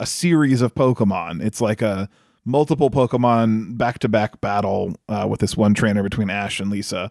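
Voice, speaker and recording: Recorded very cleanly against a silent background with a dry, close sound and no echo, a man uses an ordinary speaking voice at a moderate pace with ordinary pitch variation. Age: 30s. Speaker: podcast co-host, film reviewer. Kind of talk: casual chat.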